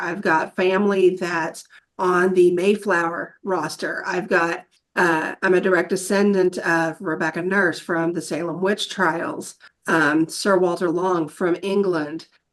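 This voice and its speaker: With an ordinary speaking voice, a woman of medium pitch talks at a fairly slow pace with ordinary pitch variation. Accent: American. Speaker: podcast participant, wheelchair user. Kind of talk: casual discussion.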